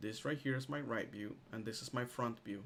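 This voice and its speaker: There is a plain, everyday voice with ordinary pitch variation. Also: man. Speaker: instructor teaching software class. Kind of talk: live online tutorial. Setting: video call with screen sharing.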